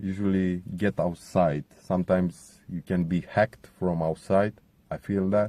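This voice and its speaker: At a fairly slow pace, a man with a Romanian accent speaks in a very deep, low pitch with a dark, mellow tone and fairly even intonation, the sound dry and close with no echo. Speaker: contributor sharing testimony. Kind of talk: testimony.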